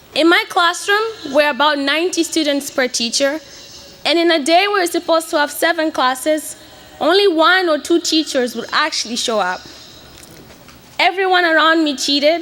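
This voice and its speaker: A woman speaks at a moderate pace in a raised, projected voice with an extremely high pitch and ordinary pitch variation. Noticeable background noise runs behind her. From Mozambique, Beira. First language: Portuguese. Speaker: graduating student. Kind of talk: commencement speech. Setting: stage with audience.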